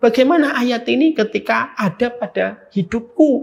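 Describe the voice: A man speaks at an extremely high pitch for a man, with ordinary pitch variation. His voice carries a slightly husky edge and vocal fry.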